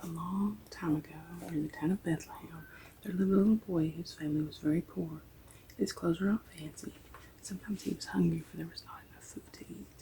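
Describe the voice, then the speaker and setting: Soft-spoken and very fast, a woman with an American accent talks in a fairly low pitch with a dark, mellow tone, vocal fry, ordinary pitch variation and big swings in loudness. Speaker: ASMR reader. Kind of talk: ASMR story reading.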